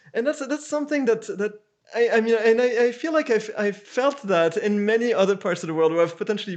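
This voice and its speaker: A man with a French accent speaks at a fairly quick pace. His pitch variation is ordinary, and the background is quiet. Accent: French accent, still present. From France, Paris. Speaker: architect. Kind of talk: interview. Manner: halting, many repeats and fillers.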